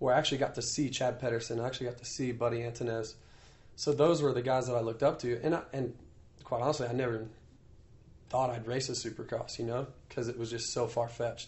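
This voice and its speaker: A man talks very fast at a medium pitch in a monotone, flat delivery. His voice is somewhat breathy. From US Midwest, Iowa. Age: 30s. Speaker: professional motocross racer. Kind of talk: casual interview. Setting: on location in Paris.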